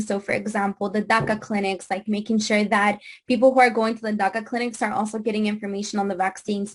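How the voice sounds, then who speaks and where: A woman speaks in a Spanish accent at a fairly high pitch. Her voice is somewhat breathy. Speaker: immigrant rights activist. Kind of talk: panel discussion. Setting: video call. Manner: halting.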